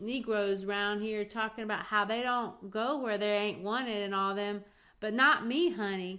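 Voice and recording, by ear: Someone reads aloud in a natural voice. The intonation stays fairly even.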